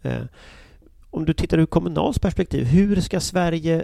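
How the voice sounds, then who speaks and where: A man of medium pitch with a dark, mellow tone and vocal fry speaks at a moderate pace with very wide pitch swings. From Gothenburg, Sweden. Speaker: podcast host, opinion journalist. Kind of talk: interview.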